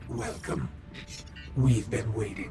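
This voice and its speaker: A man puts on a raspy character voice at a medium pitch, with a slight echo and clear background noise. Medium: solo performance. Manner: calm, slow, ominous.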